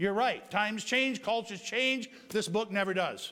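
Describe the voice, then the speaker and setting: A man speaks in a raised, projected voice at an extremely high pitch, with lively intonation at a fairly slow pace. Noticeable background noise runs under him. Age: 50s. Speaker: pastor. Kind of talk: sermon. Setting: church.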